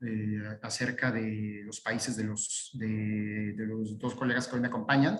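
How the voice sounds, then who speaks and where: A man speaks at a very slow pace. Noticeable background noise runs behind him. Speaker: lawyer. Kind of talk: webinar presentation. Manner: halting, many fillers.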